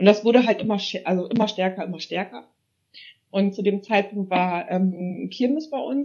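With a plain, everyday voice at a medium pitch, a woman speaks at a moderate pace with ordinary pitch variation. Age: 30s. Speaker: paranormal investigator. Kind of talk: casual chat.

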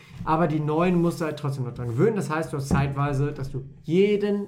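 The voice is somewhat breathy, with lively intonation and audible room echo. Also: man. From Lower Saxony, Germany (Wolfenbüttel). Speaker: podcast co-host. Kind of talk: casual chat.

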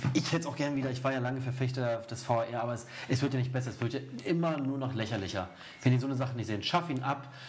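A man talks at a very fast pace with fairly even intonation. Audible room echo and noticeable background noise fill the recording. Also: medium pitch for a man. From Erzgebirge, Saxony. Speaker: football podcast host. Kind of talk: casual chat.

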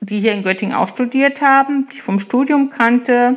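A woman talks in a fairly high pitch with ordinary pitch variation and an unremarkable speaking voice. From Eichsfeld, Lower Saxony, Germany. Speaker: village mayor and chemist. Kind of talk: interview.

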